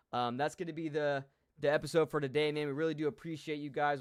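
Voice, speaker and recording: On a very clean recording with a silent background, a man talks at a very fast pace in a fairly high pitch, his intonation fairly even. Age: 20s. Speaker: sports podcast co-host. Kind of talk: casual chat.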